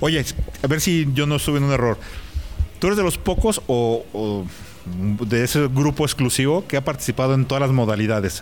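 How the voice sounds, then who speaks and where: A man with a Mexican accent talks at a moderate pace and medium pitch, with lively intonation and very even loudness, over noticeable background noise. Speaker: podcast host. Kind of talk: casual interview. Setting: in person at a race event.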